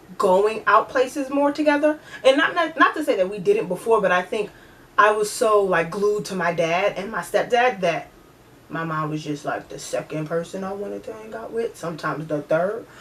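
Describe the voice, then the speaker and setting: Against noticeable background noise, a woman with a medium-pitched voice speaks at a moderate pace in an animated tone, with very wide pitch swings and big swings in loudness. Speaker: vlogger. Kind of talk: casual vlog talk.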